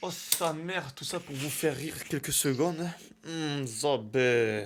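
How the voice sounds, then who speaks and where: A man with a fairly high pitch and ordinary pitch variation is heard. He speaks at a very slow pace. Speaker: fitness YouTuber and coach. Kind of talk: casual vlog monologue. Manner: animated.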